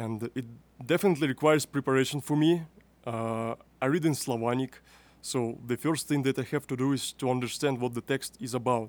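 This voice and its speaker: An unremarkable speaking voice, this man's sits at a medium pitch with fairly even intonation, in a dry, close recording with no echo. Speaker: youth podcast host. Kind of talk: interview. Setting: youth conference.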